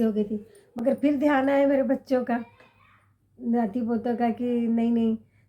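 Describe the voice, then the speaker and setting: Her pitch is high and her intonation monotone and flat, giving this woman's voice a dark, mellow tone. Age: 60s. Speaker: vlogger. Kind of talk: casual chat to camera. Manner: halting, with self-corrections.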